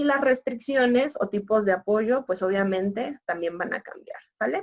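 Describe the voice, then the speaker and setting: A woman speaks at a moderate pace in a normal speaking voice. She has a fairly high pitch and ordinary pitch variation. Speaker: university lecturer. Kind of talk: lecture.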